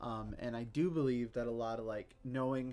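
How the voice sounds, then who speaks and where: With music playing in the background, a man talks at a fairly slow pace and a medium pitch. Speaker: streamer. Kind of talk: casual chat. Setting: live stream. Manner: loud. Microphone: mic moved far away on desk.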